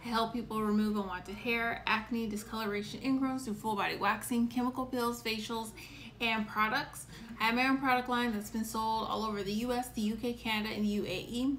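Light background noise is present. A woman speaks with monotone, flat intonation. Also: moderate pace. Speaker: esthetician hosting a live show. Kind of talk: casual livestream chat. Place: home room. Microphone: phone near.

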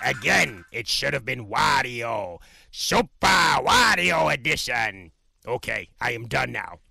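Speaking at a fairly slow pace, the put-on character voice comes out raspy. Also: man, medium pitch for a man. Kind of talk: comedic character reaction video.

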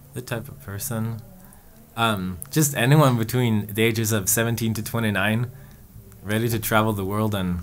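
A man talks at a very slow pace in a medium pitch with fairly even intonation. Light background noise sits behind him. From Sweden. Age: 20s. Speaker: organization staff member; guest. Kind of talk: interview answers. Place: studio. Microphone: studio mic.

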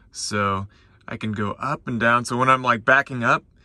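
Music plays in the background of this dry, echo-free recording as the speaker talks at a moderate pace with fairly even intonation. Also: man. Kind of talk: casual vlog chat. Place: car. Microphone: phone near.

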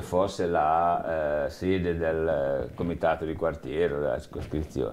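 This is a man talking. He speaks at a very slow pace. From Liguria. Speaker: eyewitness interviewee, former municipal employee; witness. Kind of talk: oral history interview. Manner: halting, many fillers and repetitions. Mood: reflective, calm. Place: studio. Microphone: lapel.

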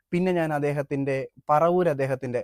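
A man with a plain, everyday voice and fairly high pitch is heard in a dry, close sound with no echo, his pitch varying an ordinary amount. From Kerala, Adoor (Pathanamthitta). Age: 20s. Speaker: world record holder and activist. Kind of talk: interview.

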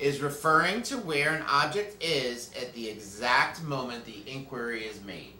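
With light background noise and audible room echo, a man talks at a moderate pace with hardly any pauses. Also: big swings in loudness. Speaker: school news host. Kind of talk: broadcast quiz hosting. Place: studio.

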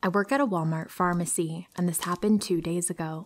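A woman with a fairly low pitch speaks in a normal speaking voice at a moderate pace, her pitch varying in an ordinary way. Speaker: horror story narrator. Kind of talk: story reading.

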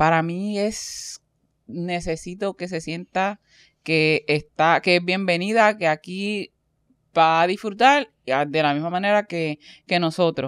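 Recorded very cleanly against a silent background, a woman with a fairly low pitch speaks at a very slow pace, the sound dry and close with no echo. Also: ordinary pitch variation. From Caribbean. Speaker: podcast host. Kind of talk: casual chat.

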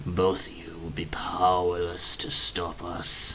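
A man uses a put-on character voice with a very deep, low pitch, talking fairly slowly against clear background noise. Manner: menacing.

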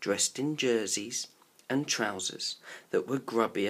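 Unforced voice, reading

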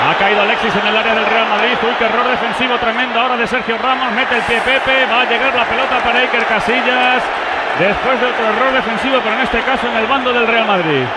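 An animated man with an extremely high pitch speaks at a very fast pace and very even loudness, with noticeable background noise behind him. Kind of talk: live football commentary. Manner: animated, fast play-by-play delivery, rising to shouts on big chances; excitable, rapid-fire, clipped sentences.

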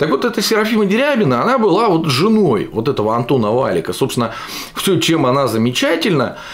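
Speaking at a very fast pace, a man with a fairly high pitch makes very wide pitch swings while keeping his loudness very even. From Russia, Yekaterinburg; Russia. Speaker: political video blogger. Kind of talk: political commentary monologue. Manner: animated. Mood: sarcastic, critical. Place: home room.

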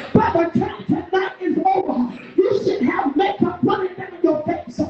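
Over noticeable background noise and audible room echo, a woman speaks at an extremely high pitch with lively intonation. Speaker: preacher. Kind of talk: sermon. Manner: animated. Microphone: sounds muffled.

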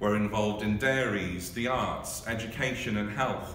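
With light background noise and audible room echo, the speech shows ordinary pitch variation. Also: man. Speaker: marketing and communications staff member. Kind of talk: spoken word poetry reading. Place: office. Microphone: phone near.

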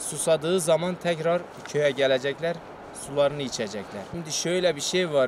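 At a moderate pace, a man with a fairly high pitch and ordinary pitch variation talks over noticeable background noise in a dry sound with no echo. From Turkey. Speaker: villager, goat keeper. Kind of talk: casual interview. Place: open country.

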